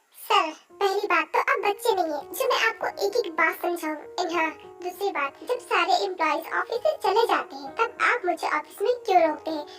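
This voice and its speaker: Putting on a character voice, a woman speaks at an extremely high pitch and moderate pace with lively intonation, while clear music plays in the background. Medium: fan dub. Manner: respectful but exasperated.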